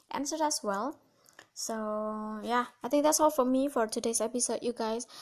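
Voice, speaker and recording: A fairly high-pitched woman with an Indonesian accent and fairly even intonation, against a quiet background. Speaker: podcast host. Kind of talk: casual solo podcast talk.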